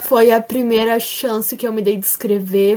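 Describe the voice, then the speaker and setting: Here is a woman with an ordinary speaking voice and a fairly high pitch. She talks at a fairly slow pace. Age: 20s. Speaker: podcast guest. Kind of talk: casual chat. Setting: video call.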